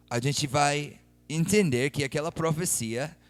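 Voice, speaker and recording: A man with a non-native accent, fairly high-pitched and very slow, over music in the background. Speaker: missionary preacher. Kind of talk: sermon.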